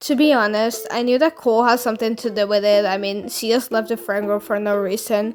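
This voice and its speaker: This woman talks at a fairly quick pace with hardly any pauses, her fairly high pitch carrying a non-native accent and fairly even intonation. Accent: noticeable non-native pronunciation. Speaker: storytime youtuber. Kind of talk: storytelling monologue. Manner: casual, blunt; hesitant, many fillers.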